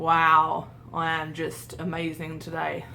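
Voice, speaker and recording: A woman with a fairly low pitch and a bright, sharp tone speaks with vocal fry amid audible room echo. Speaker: vlogger. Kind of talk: casual vlog monologue.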